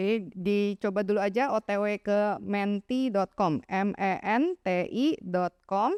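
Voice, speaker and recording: In a very clean recording with a silent background and a dry, close sound with no echo, a woman talks at a very slow pace with hardly any pauses. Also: medium pitch for a woman, ordinary pitch variation, very even loudness. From Jakarta, Indonesia. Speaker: evangelist and children's ministry teacher. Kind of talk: seminar talk. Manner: warm, interactive with audience.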